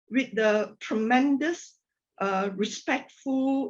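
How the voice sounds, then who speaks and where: Someone with a Malaysian accent speaks at a very slow pace. The pitch varies in an ordinary way. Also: woman. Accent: Malaysian, non-native sentence construction. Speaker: corporate technology executive. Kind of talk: podcast interview.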